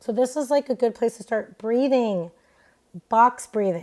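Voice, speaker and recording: A very clean recording of a woman, the background silent. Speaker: podcast host, doctor. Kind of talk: solo podcast talk. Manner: loud; casual, filler-heavy.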